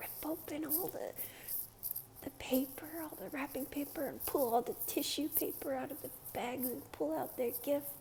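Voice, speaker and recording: A soft-spoken woman talks in a calm, relaxed tone at a fairly slow pace with ordinary pitch variation. Noticeable background noise can be heard. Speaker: ASMR creator. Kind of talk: casual soft-spoken ramble to camera. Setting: recorded at home with street noise outside. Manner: soft-spoken, calm, relaxed.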